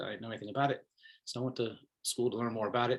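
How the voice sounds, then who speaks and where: A man with an American accent speaks at a very fast pace. His voice is somewhat breathy and medium in pitch. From Brooklyn, New York City (Bensonhurst). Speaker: professor. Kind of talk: self-introduction at online faculty meet and greet. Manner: frequent fillers and hesitations.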